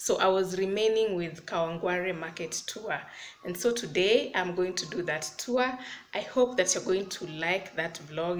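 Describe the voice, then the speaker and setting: With ordinary pitch variation, a woman speaks at a moderate pace over light background noise. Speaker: vlogger. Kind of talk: casual vlog chat. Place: home room. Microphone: phone near.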